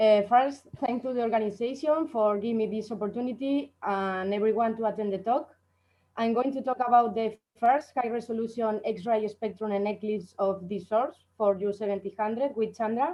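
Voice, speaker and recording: At a moderate pace, a woman with a normal speaking voice talks with ordinary pitch variation. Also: fairly high pitch for a woman. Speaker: astrophysics researcher. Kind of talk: conference talk.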